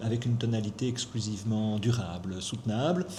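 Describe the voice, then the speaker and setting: A man at a medium pitch and moderate pace, with audible room echo. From Belgium, Brussels. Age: 60s. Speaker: economist. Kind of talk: interview.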